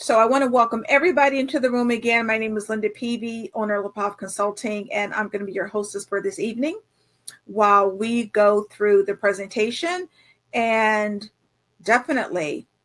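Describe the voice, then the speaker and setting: This woman has a normal speaking voice, fairly high in pitch, with ordinary pitch variation and a fairly quick pace. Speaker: grant writing consultant. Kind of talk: webinar presentation. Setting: online webinar.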